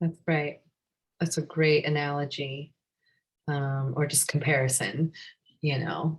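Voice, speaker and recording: Here a woman with a General American accent speaks in a very deep, low, somewhat breathy voice. Her delivery is fairly slow and monotone, with long, frequent pauses. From USA. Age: 40s. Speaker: yoga teacher. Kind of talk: live class discussion.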